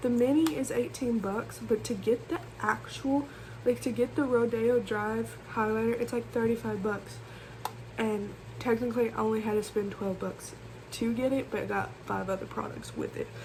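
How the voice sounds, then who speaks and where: Behind a woman talking at a moderate speed, there is noticeable background noise. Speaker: beauty vlogger. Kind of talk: casual makeup tutorial vlog. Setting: bedroom. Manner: loud, talking over fan.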